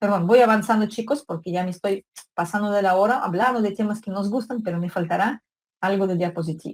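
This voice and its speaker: With a somewhat breathy delivery, a woman talks at a very fast pace, her medium pitch carried in fairly even intonation. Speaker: psychology lecturer. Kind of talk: online lecture.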